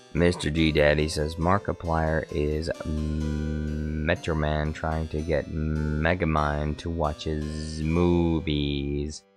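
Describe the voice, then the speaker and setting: With music in the background, a man speaks at a very slow pace in a very deep, low pitch and a monotone, flat intonation. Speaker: livestreamer. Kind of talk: casual live stream chat.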